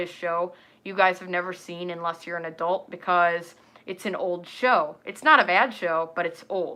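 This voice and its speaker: A woman speaks in an animated tone at a fairly quick pace. Her voice is bright and sharp. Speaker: furry content creator, livestreamer. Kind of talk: casual livestream chat. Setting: live stream. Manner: animated, informal.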